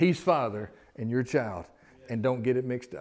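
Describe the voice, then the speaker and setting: The recording is very clean, and the background is silent. A man talks at medium pitch, his pitch shifting in an ordinary way. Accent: Southern US. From US South. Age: 50s. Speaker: pastor. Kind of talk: sermon. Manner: animated.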